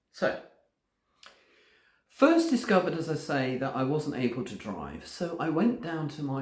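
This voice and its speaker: Vocal fry marks a man's speech, delivered at a moderate pace with an English accent. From England. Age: 60s. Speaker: vlogger. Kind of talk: casual vlog narration.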